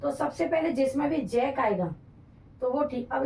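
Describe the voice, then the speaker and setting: A woman speaks at a high pitch and a moderate pace. Her tone is dark and mellow. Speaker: English teacher for exam prep. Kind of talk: tutorial.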